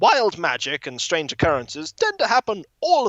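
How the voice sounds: The background is quiet behind a natural reading voice.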